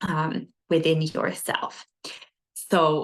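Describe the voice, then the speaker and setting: A woman's fairly low voice with vocal fry. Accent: non-native. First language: not English. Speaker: spiritual teacher. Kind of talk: lecture. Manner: hesitant, with frequent fillers.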